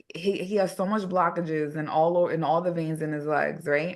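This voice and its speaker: Over a quiet background, a woman with a normal speaking voice talks at a moderate pace in an American accent. Her fairly low pitch has ordinary pitch variation. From New York City. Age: 30s. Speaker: hair regrowth practitioner. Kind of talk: podcast interview.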